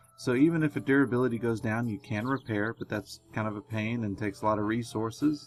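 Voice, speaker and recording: With music in the background, a man talks at a very fast pace with hardly any pauses, a medium pitch, fairly even intonation and big swings in loudness. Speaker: gaming tutorial youtuber. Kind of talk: tutorial. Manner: soft-spoken, quieter than usual.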